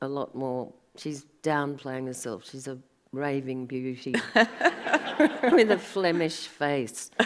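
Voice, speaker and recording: With an Australian accent, a woman talks at a very slow pace in a very deep, low pitch, her pitch varying an ordinary amount. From Sydney, Australia. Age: 60s. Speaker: artist. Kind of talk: panel conversation. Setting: gallery event with live audience.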